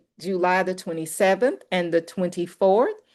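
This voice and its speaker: An unremarkable speaking voice at a fairly slow pace, with fairly even intonation over a quiet background. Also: woman. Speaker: organizer hosting a network call. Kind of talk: announcements on a community call.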